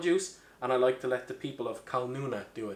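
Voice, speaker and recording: A man with an Irish accent speaks at a medium pitch. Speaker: bartender. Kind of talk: comedic cocktail tutorial to camera.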